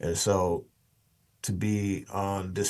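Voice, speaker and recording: A man with an American accent, a very deep, low pitch and fairly even intonation against a quiet background. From Oklahoma City, then Washington state from age 13. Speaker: podcast guest, financial media host. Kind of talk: interview conversation. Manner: many fillers and repetitions.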